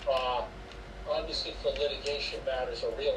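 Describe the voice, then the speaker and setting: A man with an American accent, fairly quick and monotone with flat intonation, over noticeable background noise and audible room echo. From Rhode Island, US. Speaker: business and intellectual property lawyer. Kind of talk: interview.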